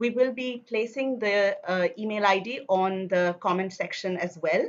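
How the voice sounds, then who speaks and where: A woman speaks with ordinary pitch variation. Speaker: event host. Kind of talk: formal welcome address. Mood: warm, smiling. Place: home room. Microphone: video call.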